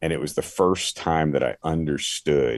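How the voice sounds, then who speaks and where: Vocal fry in an American accent at a fairly slow pace. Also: man. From Philadelphia area, US. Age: 60s. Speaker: former sports radio host, now pastor. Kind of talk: testimony.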